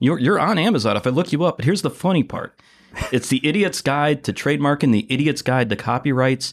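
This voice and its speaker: Pitched fairly high, a man talks in a plain, everyday voice. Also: fairly quick pace. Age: 50s. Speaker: podcast host. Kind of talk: casual interview conversation. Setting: guest's company office.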